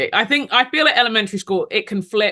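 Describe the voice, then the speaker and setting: Here a woman talks in a London accent. Her pace is fairly quick and her intonation lively. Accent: British (London). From London, England (Nigerian parents). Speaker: ministry leader, speaker and author. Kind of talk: interview testimony. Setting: podcast interview.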